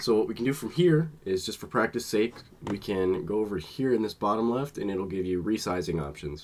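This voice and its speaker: Talking at a fairly quick pace, a man uses a normal speaking voice, fairly low in pitch, with lively intonation. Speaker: lighting tutorial creator. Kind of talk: tutorial.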